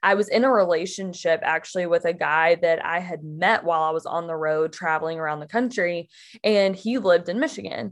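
Against a quiet background, a woman with an American accent and a normal speaking voice talks at a fairly quick pace with ordinary pitch variation. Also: fairly low pitch for a woman. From Mississippi, US South. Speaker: podcast guest sharing faith story. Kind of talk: casual chat. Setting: in person at her home.

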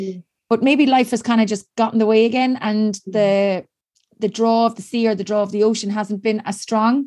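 Speaking at a fairly quick pace with an Irish accent, a woman keeps her intonation fairly even against a quiet background. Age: 40s. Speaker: sports podcast host. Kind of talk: casual interview; scripted introduction.

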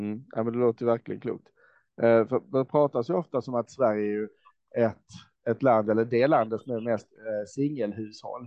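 This is a man at medium pitch, talking at a moderate pace. He has an ordinary speaking voice. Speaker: podcast host. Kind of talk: interview. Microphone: faulty microphone, poor sound quality.

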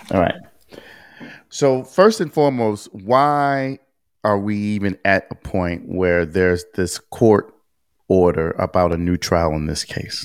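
A man with a normal speaking voice, fairly low in pitch, at a fairly slow pace with lively intonation, in a very clean recording with a silent background. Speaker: podcast host. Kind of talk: casual podcast chat discussing a legal case. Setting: video recording with screen sharing.

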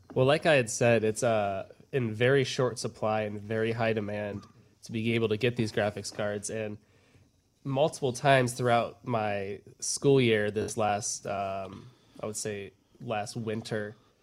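In a very clean recording with a silent background, a man talks at a fairly slow pace with fairly even intonation, medium pitch and a normal speaking voice. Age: young. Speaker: college student. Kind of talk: casual chat.

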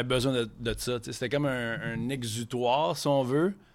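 A man with an ordinary speaking voice talks at a fairly slow pace. His pitch is medium and his intonation fairly even. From Quebec City. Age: 30s. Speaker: chef. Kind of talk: casual chat.

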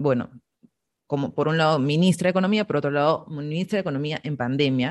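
A woman's very deep, low voice with ordinary pitch variation. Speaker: podcast host. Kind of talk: interview conversation.

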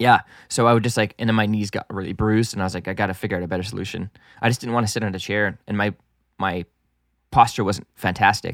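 A man with a fairly low voice talks at a very fast pace with fairly even intonation, recorded very cleanly against a silent background with a dry, close sound and no echo. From Canada, French-speaking homeschooled. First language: French. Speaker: music producer and engineer. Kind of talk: casual chat. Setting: studio.

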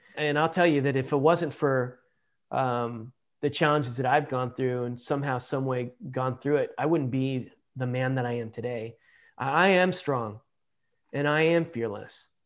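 Against a quiet background, a man with an American accent speaks at a moderate pace in a medium pitch with fairly even intonation. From Los Angeles, US. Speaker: war veteran. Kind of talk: interview. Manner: halting.

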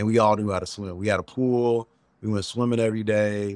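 A man's fairly low voice with ordinary pitch variation, in a very clean recording with a silent background. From Chicago South Side. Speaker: TV travel host and entrepreneur. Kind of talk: casual interview.

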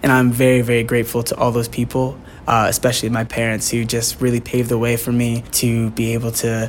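At a fairly quick pace, a man speaks at medium pitch in an unremarkable speaking voice. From Bucks County, Pennsylvania. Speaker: stage actor. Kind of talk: radio interview.

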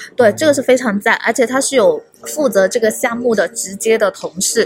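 With a slight Hong Kong accent, a woman speaks with ordinary pitch variation while music plays behind her. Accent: barely any Hong Kong accent in Mandarin. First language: Cantonese (speaking Chinese). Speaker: tech community organizer. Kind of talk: casual chat. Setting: hotel lobby.

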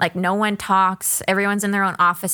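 A woman speaks in a medium pitch with an American accent. Her intonation is monotone and flat, and the recording is very clean with a silent background. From Florida. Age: 20s. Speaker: entrepreneur. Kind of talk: casual chat.

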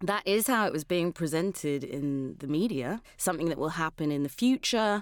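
This woman has a British accent and a fairly low pitch, with lively intonation at a moderate pace. The recording is very clean, with a silent background. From London, England. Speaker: climate podcast producer and advocate. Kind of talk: interview conversation.

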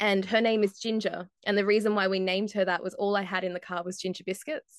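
A voice at a moderate pace with fairly even intonation, recorded dry and close with no echo against a quiet background. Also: woman. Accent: slight Australian. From Australia. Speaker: motorsport journalist. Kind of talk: casual interview chat.

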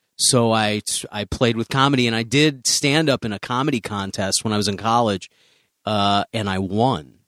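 Recorded very clean with a silent background and a dry, close sound with no echo, a man at medium pitch speaks in a normal speaking voice with an American accent, at a moderate pace and with ordinary pitch variation. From US Midwest, Chicago. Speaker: stand-up comedian. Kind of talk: casual interview chat.

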